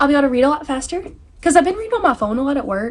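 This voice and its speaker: An animated woman with a Southern US accent and very wide pitch swings, amid noticeable background noise. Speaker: book YouTuber. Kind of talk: casual vlog chat. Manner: fast.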